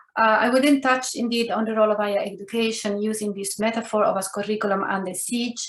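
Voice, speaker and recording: A woman with an Italian accent speaks very fast and hardly pauses, her pitch fairly high and her intonation fairly even. Audible room echo and noticeable background noise are present. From Italy. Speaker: professor. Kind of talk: lecture.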